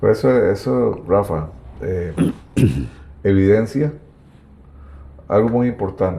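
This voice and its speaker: A man speaks at a very slow pace with a fairly low pitch, very wide pitch swings, and long, frequent pauses. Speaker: local history video host. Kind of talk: interview about local history. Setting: at the guest's home.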